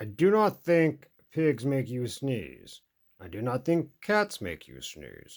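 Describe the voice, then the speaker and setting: A man puts on a character voice at a medium pitch. He speaks at a fairly slow pace with very wide pitch swings. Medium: read story. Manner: calm.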